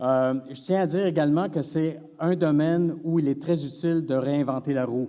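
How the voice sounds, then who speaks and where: There is audible room echo as a man with a Quebec accent speaks at a moderate pace in a fairly high pitch with fairly even intonation. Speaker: veterinary professor. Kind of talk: conference talk. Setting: stage with audience. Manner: hesitant, many fillers.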